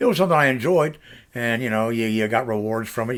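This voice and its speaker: A man with an American accent at a medium pitch and a very fast pace. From US South, Central Florida. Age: 60s. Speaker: vlogger, retired video producer. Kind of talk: casual personal vlog. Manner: relaxed, with many fillers.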